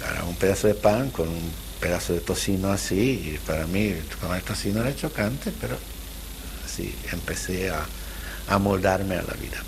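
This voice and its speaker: A man's voice at a moderate pace, with noticeable background noise and audible room echo. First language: not Spanish, Central European language (speaking Spanish). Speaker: Holocaust survivor. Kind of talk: testimony interview. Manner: halting, with repetitions.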